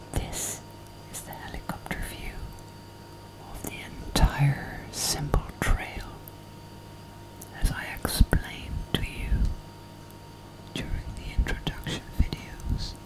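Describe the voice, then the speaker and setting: Whispering at a very slow pace, the speaker leaves long, frequent pauses and shifts greatly in loudness. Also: woman. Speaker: life coach, ASMR whisper coach. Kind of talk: guided coaching talk. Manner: whispered, soft-spoken, calming. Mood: calm, teaching. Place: home room.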